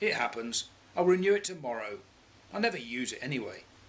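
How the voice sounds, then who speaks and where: A man puts on a gruff, growling character voice, fairly high in pitch with very wide pitch swings, and talks at a very fast pace. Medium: read story.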